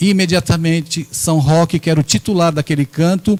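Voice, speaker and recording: An animated tone in a dry, close sound with no echo. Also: man. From Brazil, São Paulo (Santos). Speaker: spiritist lecturer. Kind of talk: lecture. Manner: animated, rhetorical.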